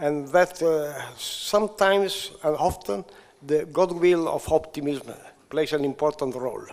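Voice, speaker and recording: A man speaks in a Sicilian accent at a very slow pace. His pitch variation is ordinary. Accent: Italian (Sicilian) accent in English. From Sicily, Italy. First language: Italian. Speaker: physician, IVF pioneer. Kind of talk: conference speech. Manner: halting, many hesitations.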